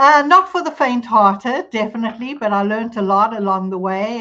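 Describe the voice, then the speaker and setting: A woman with a South African accent speaks with ordinary pitch variation. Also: quiet background. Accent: South African, noticeable. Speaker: immigration attorney. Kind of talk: podcast interview. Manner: conversational, with fillers.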